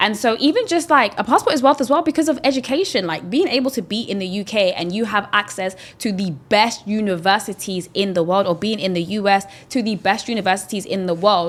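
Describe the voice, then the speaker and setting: A woman talks with a British accent at a fairly quick pace. Her intonation is lively, and she hardly pauses. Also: medium pitch for a woman. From London. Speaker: investor and ex-banker. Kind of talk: podcast interview.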